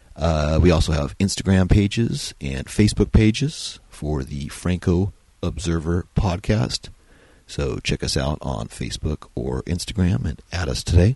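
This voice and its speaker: Very deep and low, a man's voice carries vocal fry and a dark, mellow tone. He talks at a fairly slow pace. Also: lively intonation. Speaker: podcast host and indie filmmaker. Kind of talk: solo film review podcast, partly reading aloud.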